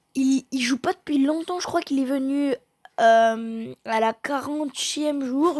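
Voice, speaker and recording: Against a silent background on a very clean recording, a woman with a high pitch speaks very slowly with fairly even intonation. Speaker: gaming youtuber. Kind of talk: gameplay commentary.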